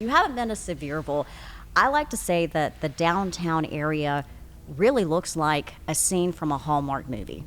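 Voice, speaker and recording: A woman with an East Tennessee accent and a very deep, low pitch speaks at a moderate pace with lively intonation, on a very clean recording with a silent background. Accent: local East Tennessee. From East Tennessee, Athens. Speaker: podcast co-host. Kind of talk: casual conversation. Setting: historic theater building.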